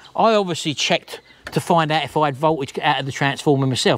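Speaking at a very fast pace with lively intonation, a man sounds dry with no echo, with light background noise. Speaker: vlogger. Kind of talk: casual vlog chat, rant. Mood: annoyed, ranting. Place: garden. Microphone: lapel.

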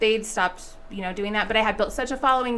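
With an American accent, a woman speaks in a normal speaking voice at a fairly high pitch with fairly even intonation. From Las Vegas, Nevada. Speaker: school board trustee; interview guest. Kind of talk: interview. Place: studio. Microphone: studio mic.

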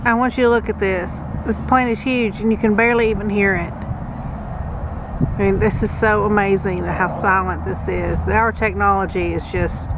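The speech moves at a moderate pace with hardly any pauses. The sound is dry with no echo, though there is noticeable background noise. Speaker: family vlogger. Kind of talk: casual vlog chat. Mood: excited, grateful. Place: open country. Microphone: phone near.

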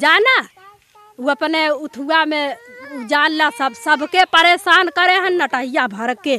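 A raised, projected voice moves at a very slow pace with lively intonation, in a dry sound with no echo and light background noise. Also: woman, high pitch for a woman. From Uttar Pradesh. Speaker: villager. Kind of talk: testimony. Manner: halting. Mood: aggrieved, pleading complaint. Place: open country. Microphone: handheld.

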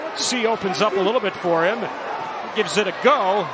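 Background noise is noticeable here. A man is the one talking. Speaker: play-by-play commentator. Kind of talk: live sports commentary. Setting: broadcast booth.

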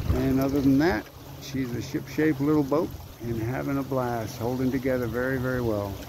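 A man at a moderate pace, dry sound with no echo, noticeable background noise. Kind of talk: casual vlog chat. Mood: happy, relaxed. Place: boat.

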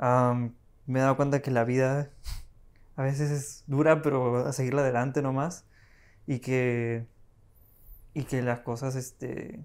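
Speaking at a fairly slow pace, a man leaves long, frequent pauses. His intonation is monotone and flat over a quiet background. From Peru. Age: 20s. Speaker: assistant director, film school graduate; podcast guest. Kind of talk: casual chat. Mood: relaxed, reflective. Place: home room. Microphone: lapel.

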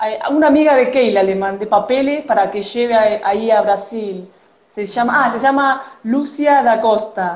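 A woman with a fairly high pitch speaks at a fairly slow pace amid audible room echo. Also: ordinary pitch variation. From Argentina, Buenos Aires city. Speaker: origami artist. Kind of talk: origami tutorial. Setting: Instagram live video. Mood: cheerful, friendly. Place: home room.

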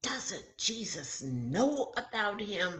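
Putting on a character voice, a woman speaks very slowly at a medium pitch with big pitch swings and a fairly bright tone, while audible room echo surrounds her.

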